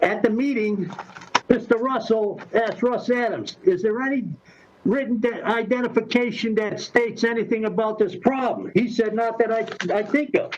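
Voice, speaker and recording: A man speaks in a high voice at a moderate pace, his intonation fairly even, with noticeable background noise present. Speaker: resident addressing city council. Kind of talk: public comment. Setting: video call. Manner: halting; loud. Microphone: muffled by face mask.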